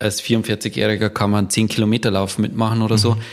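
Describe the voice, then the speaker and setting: In a fairly low pitch, a man speaks with monotone, flat intonation. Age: 40s. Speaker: company founder and managing director. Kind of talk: casual interview.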